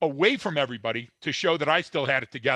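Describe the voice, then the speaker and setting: Against a quiet background, the voice has a bright, sharp tone and ordinary pitch variation. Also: man, dry, close sound with no echo. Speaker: former police officer. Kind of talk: casual chat. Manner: halting, stuttering.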